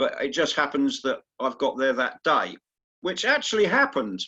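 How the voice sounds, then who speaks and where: A man with an English accent speaks in a bright, sharp tone, his pitch swinging very widely. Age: 60s. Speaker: masters indoor rower. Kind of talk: interview. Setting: video call.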